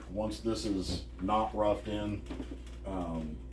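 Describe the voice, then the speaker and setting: Audible room echo surrounds the voice. It belongs to a man. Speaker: DIY camper owner. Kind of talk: tutorial. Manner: soft-spoken.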